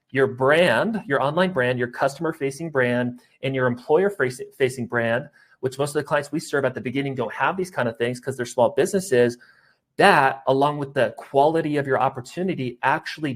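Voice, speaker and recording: This man talks at a fairly quick pace. His fairly high pitch shows ordinary variation. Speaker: sales recruiting trainer. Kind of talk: webinar presentation. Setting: online webinar. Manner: fast.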